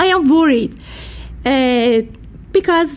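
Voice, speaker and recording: A woman with a Persian accent speaks at a very slow pace. Her voice is high, with ordinary pitch variation. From Iran. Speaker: peace activist and social worker. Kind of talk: speech at a rally. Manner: halting.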